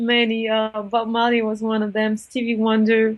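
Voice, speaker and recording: A woman speaks at a fairly slow pace with a fairly high pitch. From France. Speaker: singer. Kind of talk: interview. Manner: halting, many fillers.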